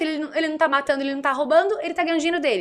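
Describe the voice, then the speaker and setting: A woman speaks in an extremely high, raised and projected voice, her bright, sharp tone animated throughout. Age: 20s. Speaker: political blogger. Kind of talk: casual chat.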